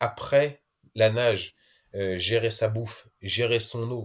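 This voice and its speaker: A man is speaking. The background is silent on a very clean recording. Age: 30s. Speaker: adventurer, explorer. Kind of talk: interview, casual storytelling. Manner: hesitant, repeats words.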